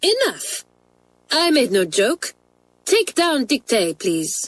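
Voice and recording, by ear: Putting on a character voice, a woman speaks slowly in a high, fairly bright tone with very wide pitch swings.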